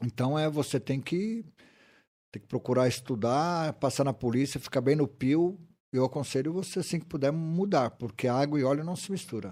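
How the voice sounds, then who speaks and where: Over a silent background in a very clean recording, a man with a fairly high, dark, mellow voice talks at a fairly quick pace with ordinary pitch variation. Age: 50s. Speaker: retired military police sergeant. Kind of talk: casual interview chat.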